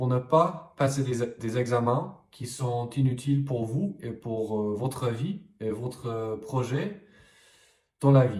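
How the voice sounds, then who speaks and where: This man has an English accent and a medium pitch with ordinary pitch variation. He talks at a very slow pace in a somewhat breathy voice. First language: English (speaking French). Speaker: French language coach. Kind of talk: vlog-style talk to camera. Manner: hesitant with frequent fillers.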